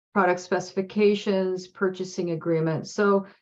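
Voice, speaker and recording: An ordinary speaking voice from a woman at medium pitch and a fairly slow pace. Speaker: food systems program presenter. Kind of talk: webinar presentation.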